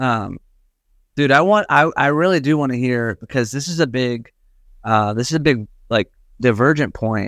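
A man talks at a fairly slow pace with a medium pitch. He has an ordinary speaking voice with ordinary pitch variation. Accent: American. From US South. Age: 40s. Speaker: pastor. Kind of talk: casual chat.

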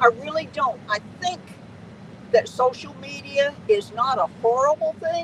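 There is noticeable background noise as a woman speaks at a fairly slow pace. Her pitch is fairly high. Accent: American. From Southern California. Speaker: veteran truck driver. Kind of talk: interview.

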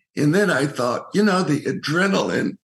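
A man talks with very wide swings in pitch. Vocal fry creeps into his voice. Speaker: Rotarian and recreational cyclist. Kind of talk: casual interview.

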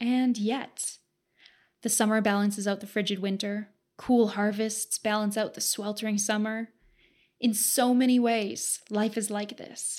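The recording is very clean, with a silent background. A woman speaks at a fairly slow pace with a fairly high pitch and monotone, flat intonation. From Southern Alberta, Canada. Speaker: podcast host. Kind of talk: scripted narration.

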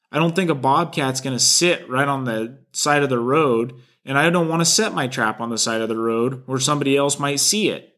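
A man with a Pacific Northwest accent speaks at a fairly quick pace with hardly any pauses. His fairly high voice has a bright, sharp tone. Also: ordinary pitch variation. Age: 20s. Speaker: trapper and podcast host. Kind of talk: solo podcast talk.

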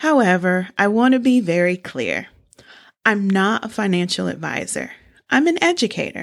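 A woman with a normal speaking voice, medium pitch, lively intonation and a moderate pace, on a very clean recording with a silent background. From small-town US. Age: 40s. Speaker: podcast host, personal finance educator. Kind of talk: scripted narration.

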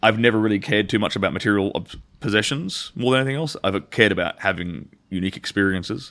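Very fast speech with ordinary pitch variation comes through in a very clean recording with a silent background. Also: man, fairly low pitch for a man. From rural Western Australia. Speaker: former adult film performer. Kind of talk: casual interview chat. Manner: clear enunciation.

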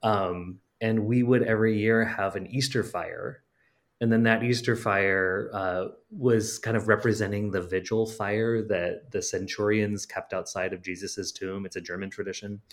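In an American accent, a man with an unremarkable speaking voice talks at a fairly low pitch, keeping a moderate pace and fairly even intonation. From Western Wisconsin, La Crosse. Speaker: playwright. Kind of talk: casual interview.

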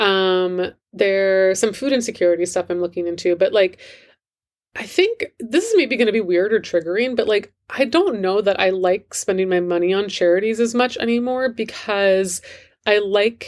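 On a very clean recording with a silent background, a woman uses an ordinary speaking voice at a medium pitch, with ordinary pitch variation and a moderate pace. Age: 40s. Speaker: life coach and podcast host. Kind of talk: solo podcast monologue, Q&A. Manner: reflective, conversational.

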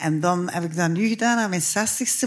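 A woman with a Flemish accent speaks at a fairly slow pace. Her fairly low voice is somewhat breathy. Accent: Flemish Dutch. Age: 60s. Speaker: writer and theatre maker. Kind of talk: live interview before audience. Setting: stage with audience. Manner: halting.

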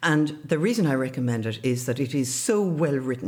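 A woman with an Irish accent at a fairly quick pace. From Ireland, River Barrow area. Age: 70s. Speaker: journalist and radio broadcaster. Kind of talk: interview.

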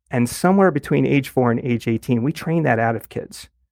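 In an ordinary speaking voice, a man talks at a fairly quick pace with lively intonation, in a dry, close sound with no echo and a very clean recording with a silent background. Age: 50s. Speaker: math educator and author. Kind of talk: interview.

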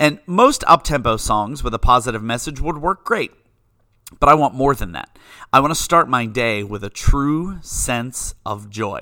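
A man talks at a medium pitch with an American accent and lively intonation. His tone is bright and sharp, on a very clean recording with a silent background. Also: moderate pace, big swings in loudness. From western Pennsylvania, US. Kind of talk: faith-based monologue.

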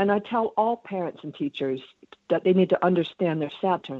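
The speaker uses an unremarkable speaking voice at a moderate pace with ordinary pitch variation. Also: woman. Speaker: astrologer. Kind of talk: interview. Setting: phone call.

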